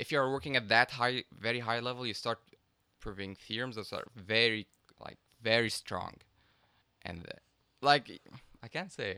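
A man with an Arabic accent speaks at a medium pitch in a bright, sharp tone, with long, frequent pauses. The sound is dry and close, with no echo. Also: ordinary pitch variation, moderate pace, big swings in loudness. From Egypt. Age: 20s. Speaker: math PhD student. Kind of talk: casual chat.

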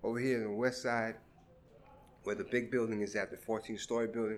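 A man speaks at medium pitch in a New York accent. His pace is fairly quick and his intonation fairly even. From Brooklyn, New York (Crown Heights). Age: 50s. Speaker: community resident interviewed for oral history. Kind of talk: oral history interview. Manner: hesitant, many fillers.

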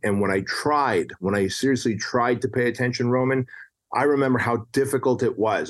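Against a quiet background, a man with a medium pitch talks at a fairly quick pace with ordinary pitch variation. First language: non-English. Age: 40s. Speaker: entrepreneur and author. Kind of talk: casual interview chat.

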